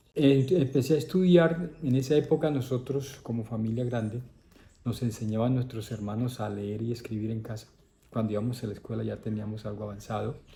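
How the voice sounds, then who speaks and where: A somewhat breathy man with a dark, mellow tone, at a fairly quick pace. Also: medium pitch for a man, ordinary pitch variation. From Colombia, Caribbean coast (Córdoba). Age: 60s. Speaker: priest. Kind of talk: interview, life story.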